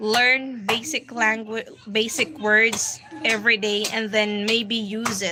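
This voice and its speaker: A woman speaks very slowly at a fairly high pitch, her intonation fairly even. Noticeable background noise runs underneath. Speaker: livestream host. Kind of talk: livestream Q&A chat. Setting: livestream. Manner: casual.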